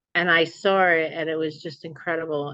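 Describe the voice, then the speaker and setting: Here a woman with a fairly low voice speaks in a New Jersey accent. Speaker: memoir author. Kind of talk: interview chat. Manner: animated.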